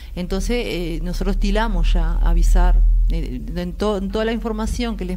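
A woman speaks at a moderate pace. Light background noise can be heard. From Uruguay. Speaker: volleyball coach for older adults. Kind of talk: live TV interview. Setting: TV studio. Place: studio.

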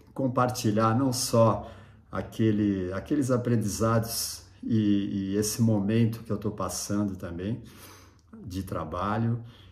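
A man's relaxed, medium-pitched voice, very slow, with ordinary pitch variation and audible room echo. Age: 60s. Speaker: surf photographer and YouTuber. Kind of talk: casual vlog monologue. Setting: at home. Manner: relaxed, with many fillers and hesitations.

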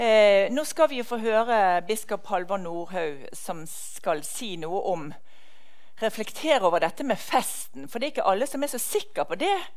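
Over a quiet background, a woman speaks at a fairly slow pace with very wide pitch swings. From Norway. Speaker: event organizer introducing the speaker. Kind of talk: welcome introduction at event. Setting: stage with audience.

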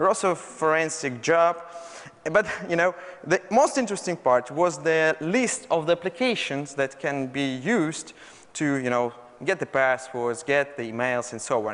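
Speaking with a Russian accent, a man with a fairly high pitch uses lively intonation at a moderate pace. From Russia, Moscow. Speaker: malware researcher. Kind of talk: conference talk. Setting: stage with audience. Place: hall.

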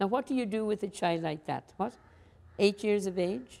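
A woman's dark, mellow voice with an Irish accent at a moderate pace. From Ireland. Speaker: nun and school principal. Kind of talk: interview. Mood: warm, animated, reflective. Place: classroom. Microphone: lapel.

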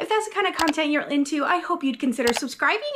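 A woman's voice over noticeable background noise. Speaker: home cooking vlogger. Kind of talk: casual vlog chat. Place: kitchen. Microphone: phone near.

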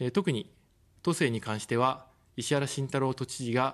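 Against a quiet background, a man with a medium pitch speaks at a moderate pace with fairly even intonation. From Tokyo. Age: 40s. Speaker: political candidate, former journalist; candidate, former journalist. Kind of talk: campaign broadcast speech. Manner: formal. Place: studio. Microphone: studio mic.

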